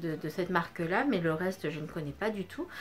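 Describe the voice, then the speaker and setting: A woman's medium-pitched voice at a fairly quick pace, ordinary pitch variation, and noticeable background noise. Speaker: beauty vlogger. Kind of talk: unboxing review. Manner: loud; hesitant, many fillers. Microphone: no microphone, camera audio.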